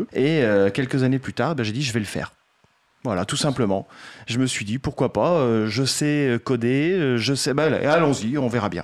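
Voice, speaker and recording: His pitch is medium, and this man uses a plain, everyday voice. The delivery is fairly slow, with ordinary variation in pitch. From France, Poitiers. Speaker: game developer, association president. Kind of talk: radio interview. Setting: radio studio.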